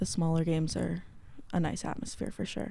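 A woman with a Canadian accent has an unremarkable speaking voice, fairly low in pitch, at a moderate pace. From Canada, Guelph, Ontario. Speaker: student. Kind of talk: casual chat.

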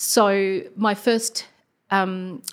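Fairly even intonation from a woman with an Australian accent. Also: very clean recording, silent background. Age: 40s. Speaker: primary school teacher. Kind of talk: personal testimony interview. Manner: hesitant, many fillers.

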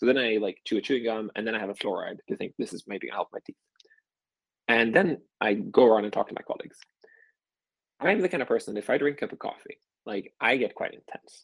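A man with a Swedish accent talks at a very fast pace, yet with long, frequent pauses. The sound is dry and close with no echo. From Sweden, small rural place. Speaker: venture capital investor. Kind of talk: casual interview.

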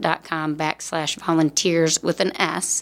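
In a Midwestern US accent, a woman with a fairly low pitch speaks at a moderate pace. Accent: US Midwest. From Davenport, Iowa. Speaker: hospice volunteer coordinator. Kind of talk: interview.

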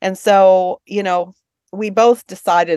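Against a quiet background, a woman with an American accent speaks at a moderate pace. The sound is dry and close, with no echo. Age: 60s. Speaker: book publisher. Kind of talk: casual interview. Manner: halting.

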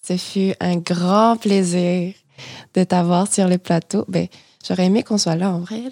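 In a very clean recording with a silent background and a dry, close sound with no echo, a woman speaks at a very slow pace with a dark, mellow tone and fairly even intonation. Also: medium pitch for a woman. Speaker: podcast co-host, graduate student. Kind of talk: casual interview.

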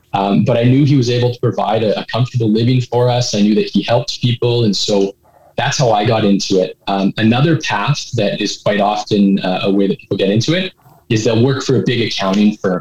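A man with a Canadian accent talks in an unremarkable speaking voice, medium in pitch with ordinary variation and very even loudness. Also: dry, close sound with no echo. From Edmonton, Alberta, Canada. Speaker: licensed insolvency trustee. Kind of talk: interview.

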